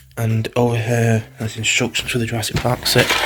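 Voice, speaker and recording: Against noticeable background noise, a soft-spoken man talks at a medium pitch with a monotone, flat intonation. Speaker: vlogger and film channel host. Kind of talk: casual vlog narration. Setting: indoors in holiday home living room. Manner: quiet, speaking softly.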